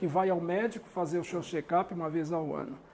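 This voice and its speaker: At a moderate pace, a man talks in a high pitch. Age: 60s. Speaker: spiritist lecturer. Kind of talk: lecture.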